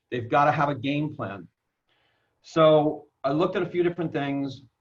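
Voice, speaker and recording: Man with an ordinary speaking voice, fairly high pitch, ordinary pitch variation and a moderate pace. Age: 60s. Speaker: network marketer. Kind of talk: personal story in an interview.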